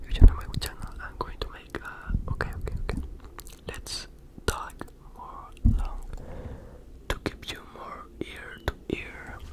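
Soft-spoken whispering at a fairly slow pace, with long, frequent pauses and loud background noise. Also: man. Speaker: ASMR creator. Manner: soft ASMR whisper, hands cupped. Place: home room. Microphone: studio mic.

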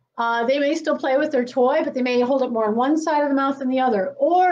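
High female voice, pitch varying in an ordinary way. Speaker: presenter. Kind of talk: lecture. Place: classroom. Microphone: camera far.

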